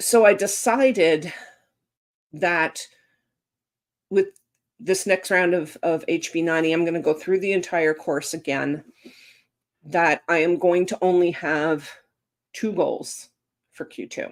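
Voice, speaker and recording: A woman's fairly low voice with a Canadian accent, fairly slow with long, frequent pauses and ordinary pitch variation, on a very clean recording with a silent background. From Canada, rural upbringing. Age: 50s. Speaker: author and live-stream host. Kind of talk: casual live chat. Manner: animated, conversational with fillers.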